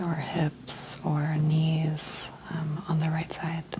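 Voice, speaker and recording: Over noticeable background noise, a woman speaks in a fairly low pitch. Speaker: ASMR role-play chiropractor / doctor. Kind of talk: soft-spoken ASMR role play exam. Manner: soft-spoken.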